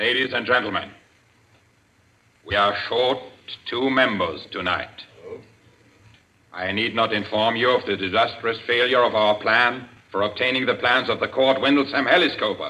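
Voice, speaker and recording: A man speaks at a moderate pace with fairly even intonation. He leaves long, frequent pauses. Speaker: radio drama actor voicing a villain. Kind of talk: dramatic speech in a radio play. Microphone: old recording.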